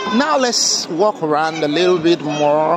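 A man speaks at a high pitch, with a dry sound with no echo and crowd noise in the background. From Africa. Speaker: travel vlogger. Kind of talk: vlog walkabout narration. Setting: outdoors at a Christmas market. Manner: animated. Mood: joyful, amazed. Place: street. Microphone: phone near.

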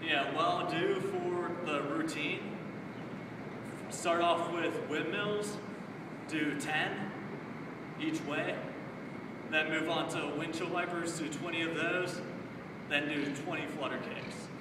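A man talks at a very slow pace with long, frequent pauses. Audible room echo and loud background noise fill the recording. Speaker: fitness instructor. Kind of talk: casual exercise tutorial to camera. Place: street. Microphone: camera far.

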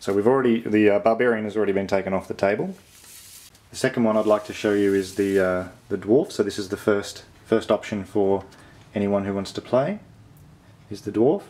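Speaking with an Australian accent, a man uses a fairly low pitch and fairly even intonation at a fairly quick pace, with long, frequent pauses. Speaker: board game video creator. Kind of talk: casual to-camera monologue. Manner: halting, many fillers.

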